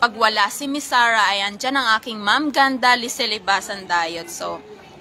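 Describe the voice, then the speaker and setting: A woman speaks at a moderate pace with a fairly high pitch and ordinary pitch variation. Noticeable background noise runs underneath. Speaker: live streamer and karaoke contest judge. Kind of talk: casual livestream chat. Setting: livestream.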